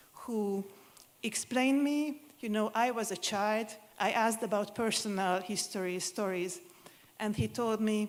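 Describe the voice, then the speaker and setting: Spoken with a Hungarian accent at a fairly slow pace. The pitch varies in an ordinary way. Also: woman, fairly high pitch for a woman. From Hungary, Budapest. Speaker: museum consultant. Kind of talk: conference presentation.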